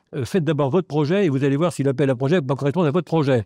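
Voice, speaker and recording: Over a quiet background, a man with a dark, mellow tone talks at a very fast pace with ordinary pitch variation in a dry, close sound with no echo. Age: 80s+. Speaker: audience member, retired local development worker. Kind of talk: audience comment at panel debate. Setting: festival round table with audience. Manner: halting, searching for words.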